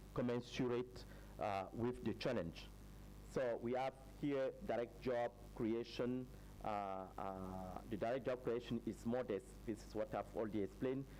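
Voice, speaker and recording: Long, frequent pauses break up the man's speech. Between them, he keeps a moderate pace. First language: French. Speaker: researcher presenting study findings. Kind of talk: conference presentation. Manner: halting, many fillers.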